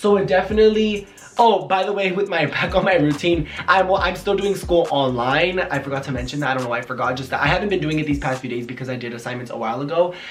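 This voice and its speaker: A man talks at a very fast pace with hardly any pauses, a high pitch and lively intonation, amid noticeable background noise and audible room echo. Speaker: YouTuber and small business owner. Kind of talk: casual Q&A vlog. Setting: at home.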